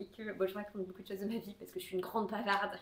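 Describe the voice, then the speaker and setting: A woman talks at medium pitch. Her intonation stays fairly even. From southwest France (Tarbes, near the Pyrenees). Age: 20s. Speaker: knitting podcaster. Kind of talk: casual chat. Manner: many hesitations (euh).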